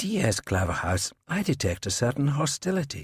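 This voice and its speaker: A man in a put-on character voice drawls at a moderate pace with very wide pitch swings at a medium pitch, on a very clean recording with a silent background. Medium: read story. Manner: drawling, condescending.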